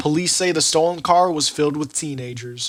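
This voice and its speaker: Pitch rises and falls in an ordinary way in a normal speaking voice. The words come at a fairly quick pace. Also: man. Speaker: student TV reporter. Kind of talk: TV news field report.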